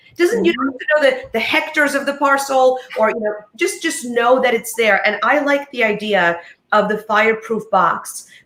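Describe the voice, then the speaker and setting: Her pitch is high for a woman, and her intonation is lively. She keeps a moderate pace. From United States, Polish immigrant family. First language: Polish. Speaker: divorce lawyer, co-host. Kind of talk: casual talk show chat.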